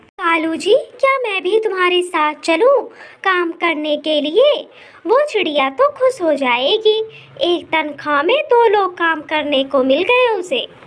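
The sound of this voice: A cartoonish character voice, female-sounding and extremely high in pitch, moves along at a fairly slow pace.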